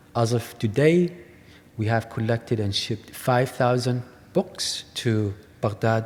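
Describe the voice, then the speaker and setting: In an Iraqi accent, a man speaks fairly slowly at a medium pitch, his pitch moving in an ordinary way. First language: Arabic. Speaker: artist. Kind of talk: lecture.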